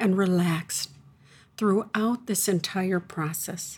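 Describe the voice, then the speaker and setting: At a very slow pace, a somewhat breathy voice speaks in a calm, soothing tone with ordinary pitch variation. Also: woman. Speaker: spiritual teacher and radio host. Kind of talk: guided meditation; live radio show with caller lines. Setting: radio studio show with open call lines. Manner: calm, slow, soothing.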